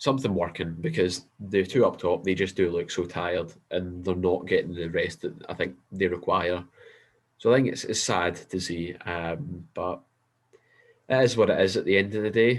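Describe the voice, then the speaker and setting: The speaker has a Scottish accent and ordinary pitch variation. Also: man, very deep, low pitch for a man, moderate pace, very clean recording, silent background. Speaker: football podcast co-host. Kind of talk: casual chat.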